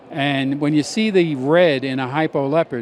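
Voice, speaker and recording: A man's fairly high-pitched voice with ordinary pitch variation, over noticeable background noise. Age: 60s. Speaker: snake breeder. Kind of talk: casual interview.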